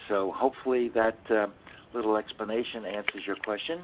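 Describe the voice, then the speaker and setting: This is a plain, everyday voice, delivered at moderate speed. Its pitch varies in an ordinary way. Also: man. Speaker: insurance expert panelist. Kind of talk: webinar Q&A. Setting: webcast.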